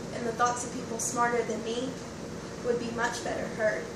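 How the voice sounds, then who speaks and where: A woman is heard with audible room echo. Noticeable background noise runs behind her. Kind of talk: acted monologue. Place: home room. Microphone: camera far.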